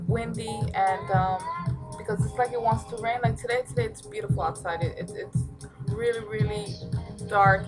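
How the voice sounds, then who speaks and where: Clear background music beneath a woman's moderate-paced speech. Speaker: vlogger. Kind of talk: casual vlog chat. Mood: chatty, somewhat reflective. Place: home room. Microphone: webcam.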